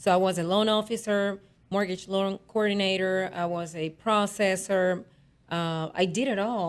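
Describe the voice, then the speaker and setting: With a Spanish accent, a woman talks at a moderate pace in a medium pitch, her intonation fairly even. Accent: noticeable Spanish. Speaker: real estate agent. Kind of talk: radio interview.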